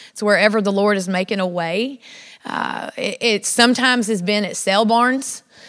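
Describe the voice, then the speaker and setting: The recording is very clean and the background silent. A woman talks at a moderate pace and a medium pitch. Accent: Southern. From South Louisiana. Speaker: women's ministry speaker, ranch worker. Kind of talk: sermon. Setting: church with audience. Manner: animated.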